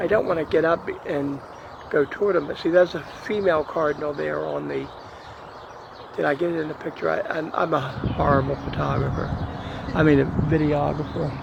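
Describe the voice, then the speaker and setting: A quiet man speaking at a fairly quick pace, with long, frequent pauses and noticeable background noise. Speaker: video blogger. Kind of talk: casual narration of home video. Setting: outdoors. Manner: quiet, hushed.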